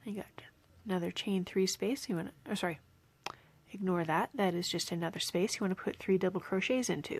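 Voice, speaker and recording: A woman's medium-pitched voice at a fairly quick pace, an ordinary speaking voice with ordinary pitch variation. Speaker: crochet teacher. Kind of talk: tutorial.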